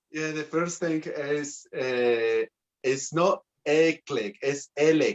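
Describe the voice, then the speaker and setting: Speaking at a very slow pace, a man with a Spanish accent has a fairly high pitch. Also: ordinary pitch variation. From Bolivia. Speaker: folk dance group member. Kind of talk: live TV interview. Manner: halting, broken English.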